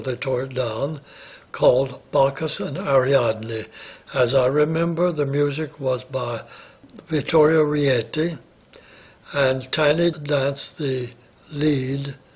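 A man with a fairly high voice talks at a very slow pace over noticeable background noise. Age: 80s+. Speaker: retired ballet dancer. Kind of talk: interview answer. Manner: reminiscing, hesitant.

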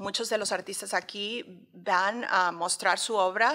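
A woman speaks at a fairly slow pace with a medium pitch and a bright, sharp tone. Her pitch varies in an ordinary way against a quiet background. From Mexico City. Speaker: art curator and professor; professor. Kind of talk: interview. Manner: halting, many fillers. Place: hall. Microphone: studio mic.

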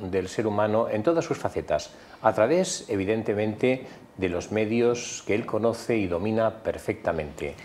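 A man speaks at a fairly low pitch and a moderate pace. His tone is slightly mellow.

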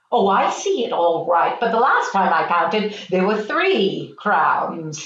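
A female-sounding put-on character voice at medium pitch moves at a fairly slow pace, with a slight echo. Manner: impatient, nagging, sarcastic.

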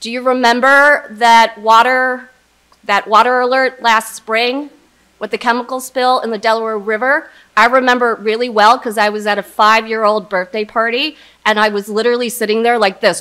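Bright and sharp in tone, the voice moves at a fairly quick pace with fairly even intonation against a quiet background. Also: woman. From US Northeast (immigrated from South Korea at three). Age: 40s. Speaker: corporate executive. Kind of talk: keynote speech. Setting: stage with audience. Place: hall. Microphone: podium.

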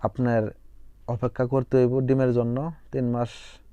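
The tone is dark and mellow. The intonation stays monotone and flat. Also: man. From Bangladesh, Jamalpur. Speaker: poultry farmer and YouTuber. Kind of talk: farm vlog tutorial.

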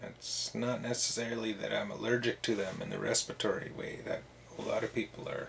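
Fairly quick speech from a man, with noticeable noise behind him. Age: 30s. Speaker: video blogger. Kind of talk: casual monologue.

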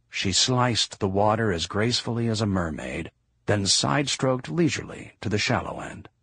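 Speaking at a fairly quick pace, a man talks with vocal fry. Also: quiet background. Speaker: audiobook narrator. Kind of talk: audiobook narration.

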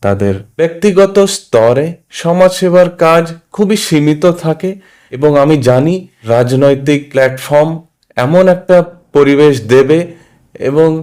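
This man has a slight Hindi accent, a fairly high pitch, ordinary pitch variation, very even loudness, and a dark, mellow tone. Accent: slight Hindi accent in Bengali. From Mumbai, India. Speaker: social worker and aspiring politician. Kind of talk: interview.

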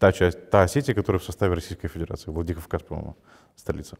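A man talks at a very fast pace with a very deep, low pitch and a dark, mellow tone. The background is quiet. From Gagauzia, Moldova; Moldova. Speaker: journalist, head of a news site. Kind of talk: interview. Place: studio. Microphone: lapel.

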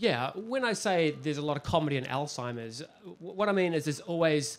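A man with a normal speaking voice at a fairly slow pace. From New Zealand, Christchurch; New Zealand. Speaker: crime novelist; author on panel. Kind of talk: panel discussion via interpreter. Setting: stage with audience. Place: stage. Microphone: handheld.

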